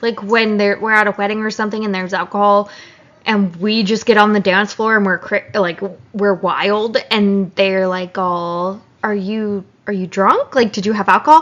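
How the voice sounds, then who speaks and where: A woman speaks at medium pitch and a moderate pace. Her intonation is fairly even. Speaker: podcast co-host and teacher. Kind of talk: casual chat.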